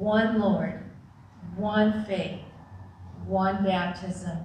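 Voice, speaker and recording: A woman speaks at a very slow pace in a monotone, flat intonation, with audible room echo and light background noise. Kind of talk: scripture reading and prayer. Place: church. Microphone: podium.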